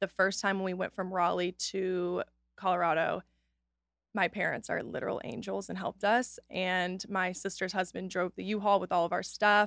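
A woman's medium-pitched voice with vocal fry and fairly even intonation, at a moderate pace, in a dry, close sound with no echo. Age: 20s. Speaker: lifestyle influencer. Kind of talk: casual chat.

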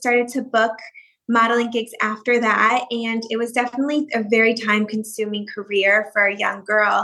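A woman with an American accent speaks at a moderate pace in a bright, sharp tone, her fairly high pitch held in a flat, monotone line. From upstate New York. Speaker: model, actress and entrepreneur. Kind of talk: casual interview chat.

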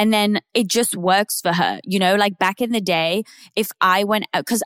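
Speaking at a moderate pace, a woman talks with a British accent. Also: dry, close sound with no echo. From Britain. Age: 30s. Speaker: podcast host. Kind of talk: casual chat.

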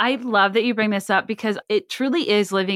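On a very clean recording with a silent background and a dry, close sound with no echo, a woman speaks at a fairly quick pace in an unremarkable speaking voice with ordinary pitch variation. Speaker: podcaster. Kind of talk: casual chat.

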